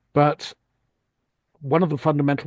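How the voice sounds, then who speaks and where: A man with a British accent speaks at a fairly high pitch in a dark, mellow tone, the sound dry and close with no echo against a quiet background. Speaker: audience member at online talk. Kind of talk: Q&A comment in online discussion. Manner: halting, many repetitions.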